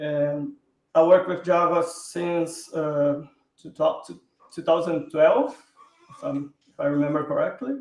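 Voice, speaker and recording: The speaker moves at a fairly slow pace with long, frequent pauses. The intonation is lively, with big swings in loudness. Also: man, high pitch for a man. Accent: Portuguese. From southern Brazil, Porto Alegre. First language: Portuguese. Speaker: software engineer. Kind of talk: interview.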